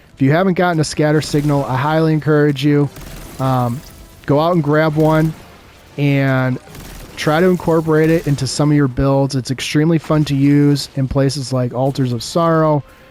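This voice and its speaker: Music plays in the background as a man talks at a moderate pace. His voice is fairly high, with fairly even intonation. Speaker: gaming content creator. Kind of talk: gameplay commentary, casual talk to viewers.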